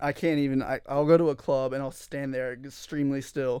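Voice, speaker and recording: He has a normal speaking voice, pitched fairly high for a man. His intonation stays fairly even. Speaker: podcast co-host, college student. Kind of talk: casual chat.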